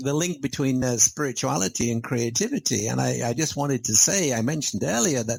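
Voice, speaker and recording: Against noticeable background noise, a man at medium pitch talks at a fairly quick pace with hardly any pauses and ordinary pitch variation. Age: 70s. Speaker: author and speaker on values in business. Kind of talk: interview.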